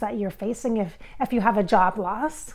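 The woman talks at a moderate pace, her pitch varying in an ordinary way, and the background is quiet. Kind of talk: channeling session monologue. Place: home room. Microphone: lapel.

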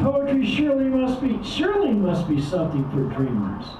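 A man talks at a fairly slow pace. There is audible room echo and light background noise. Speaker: open mic poet. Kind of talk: poetry reading. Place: cafe. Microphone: camera far.

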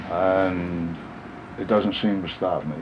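Over noticeable background noise, a man with a very deep, low pitch speaks at a fairly slow pace with fairly even intonation. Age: 70s. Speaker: handyman and clock restorer. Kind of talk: interview answer. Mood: reflective, modest.

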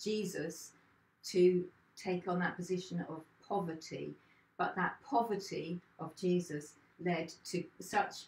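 Speaking at a very slow pace with long, frequent pauses, a woman's fairly low, somewhat breathy voice keeps fairly even intonation over audible room echo. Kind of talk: short sermon, Bible reflection. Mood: warm, reflective. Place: home room. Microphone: camera far.

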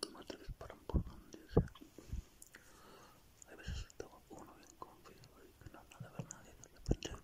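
Someone whispers in a relaxed tone at a moderate pace. Long pauses come often. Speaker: gaming ASMR creator. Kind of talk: ASMR gameplay commentary to camera. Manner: soft, relaxed chatter. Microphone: studio mic.

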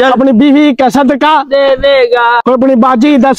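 There's a man talking. Nothing much can be heard behind him. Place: open country.

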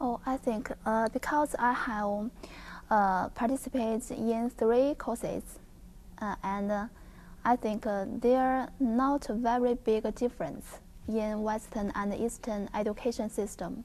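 A woman with a Chinese accent speaks at a fairly slow pace with fairly even intonation. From China. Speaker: visiting scholar, network security researcher. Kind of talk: interview. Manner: halting, many fillers. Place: studio.

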